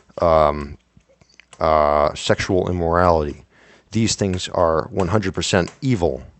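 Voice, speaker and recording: A man's very deep, low voice at a fairly slow pace, with ordinary pitch variation. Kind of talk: casual talk to camera. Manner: stuttering, hesitant.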